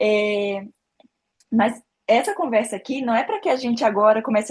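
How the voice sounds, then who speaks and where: This woman has a fairly high pitch and a somewhat breathy voice, and she speaks at a moderate pace. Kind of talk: informal faith talk.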